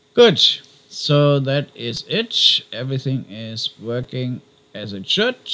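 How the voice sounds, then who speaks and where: A man with a non-native accent speaks at a very slow pace and medium pitch, his tone bright and sharp. Pitch varies in an ordinary way, while loudness swings widely. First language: not English. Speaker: YouTuber documenting crypto mining setup. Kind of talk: casual video vlog. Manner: hesitant, with fillers.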